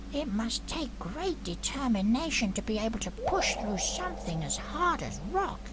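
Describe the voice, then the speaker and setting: In a put-on character voice, a female-sounding speaker talks at a moderate pace over loud background noise. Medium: game stream. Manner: soft, cautious, gentle.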